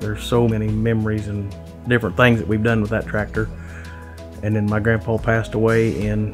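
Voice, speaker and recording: A man speaks at a fairly quick pace. Behind him, clear music plays. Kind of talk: interview answer. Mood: emotional, heartfelt. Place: home room. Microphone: lapel.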